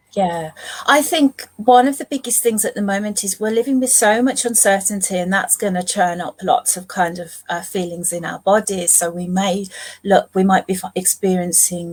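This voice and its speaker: Somewhat breathy, a woman's voice sits at medium pitch, moving at a moderate pace with ordinary pitch variation. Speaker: family therapist. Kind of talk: interview on live stream. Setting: live online event.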